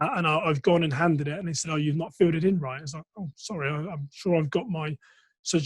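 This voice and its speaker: On a very clean recording with a silent background, a man with an English accent talks very fast at a fairly high pitch, keeping his intonation fairly even. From England, Reading. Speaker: entrepreneur, former police officer. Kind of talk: interview conversation. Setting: podcast recording.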